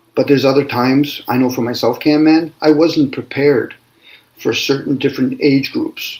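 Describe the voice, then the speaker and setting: Talking at a moderate pace, a man has a normal speaking voice with fairly even intonation. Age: 60s. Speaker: spiritual discussion host. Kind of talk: casual chat.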